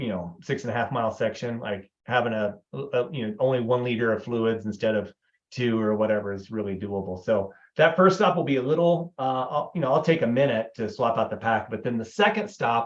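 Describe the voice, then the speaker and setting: At medium pitch and a fairly quick pace, a man talks with ordinary pitch variation. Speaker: ultra runner. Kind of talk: tutorial. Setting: livestream. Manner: fast.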